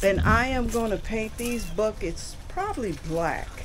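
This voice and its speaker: A woman talks at a very slow pace while noticeable background noise carries on. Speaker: homeowner vlogger. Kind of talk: casual vlog chat. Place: street. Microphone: phone near.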